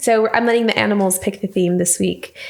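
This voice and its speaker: A woman talks in a fairly even tone while noticeable noise fills the background. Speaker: tarot reader. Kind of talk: tarot reading. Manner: hesitant, many fillers.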